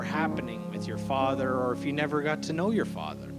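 A man is talking with loud music behind him. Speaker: speaker. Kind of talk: sermon. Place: church. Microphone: handheld.

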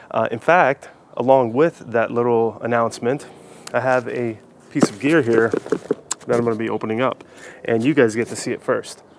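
At a moderate pace with long, frequent pauses, a man speaks in fairly even intonation, the sound dry with no echo and noticeable background noise behind him. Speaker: hiking channel host. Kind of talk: casual vlog chat. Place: garden. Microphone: lapel.

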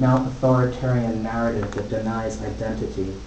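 An American accent comes from a man speaking at a moderate pace with fairly even intonation. The room echoes audibly, and there is light background noise. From United States. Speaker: poet and visual artist. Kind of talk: poetry reading. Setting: live gallery reading. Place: hall. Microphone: camera far.

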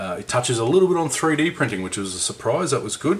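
A man with an Australian accent at a fairly quick pace, with noticeable background noise. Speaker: scale model hobbyist and reviewer. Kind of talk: book review video. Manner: casual, conversational.

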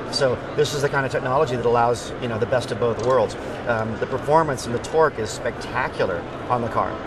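The voice comes at a fairly quick pace, dry with no echo, amid loud background noise. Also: man. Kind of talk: interview answer. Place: hall.

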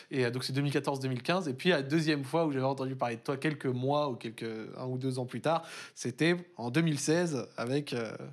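A man's fairly high-pitched voice with ordinary pitch variation, over a quiet background. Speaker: esports show host. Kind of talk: casual interview. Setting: studio. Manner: fast talker. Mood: calm, relaxed. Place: studio.

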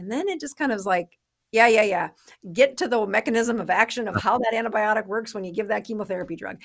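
Over a quiet background, a woman talks at a very fast pace with ordinary pitch variation. Her loudness swings widely. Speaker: podcast guest. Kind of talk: interview answer. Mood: warm, animated. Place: office. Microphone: studio mic.

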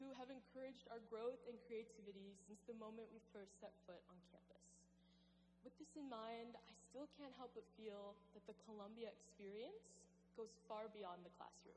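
At a moderate pace, a woman speaks with fairly even intonation over noticeable background noise. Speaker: speaker. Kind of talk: commencement speech. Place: hall.

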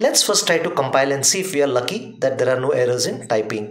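With strong room echo, a man speaks at a medium pitch with a fairly bright tone and lively intonation.

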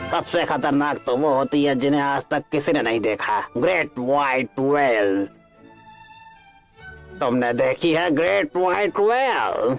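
A cartoonish character voice from a man, fairly high and lively in intonation, fairly slow, with very even loudness and faint music in the background. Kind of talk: Hindi cartoon dub. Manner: boastful, lecturing.

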